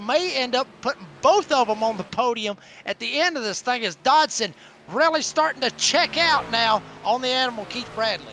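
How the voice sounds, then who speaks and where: A man with a Southern accent uses a raised, projected voice at an extremely high pitch. He keeps a moderate pace and lively intonation. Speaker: sim racing color commentator. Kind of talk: live commentary.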